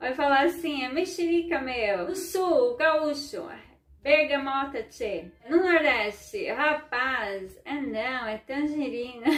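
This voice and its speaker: Over background music, a woman with a high pitch talks at a very slow pace with lively intonation. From southern Brazil, Ukrainian community. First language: Ukrainian (speaking Portuguese). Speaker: vlogger and educator. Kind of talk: informal educational talk to camera. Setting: at home. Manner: conversational, frequent filler né.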